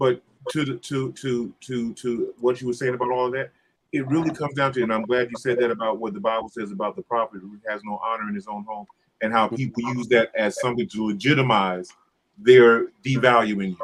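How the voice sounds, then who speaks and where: Here is a man with a plain, everyday voice at a medium pitch. He speaks at a fairly quick pace with fairly even intonation. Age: 60s. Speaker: church musician. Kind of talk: casual chat.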